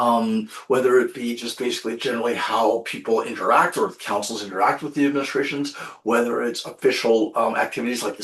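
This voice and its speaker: Fairly quick speech from a man, noticeable background noise behind him. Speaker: municipal education trainer, webinar presenter. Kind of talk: webinar presentation. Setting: online webinar. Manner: fast.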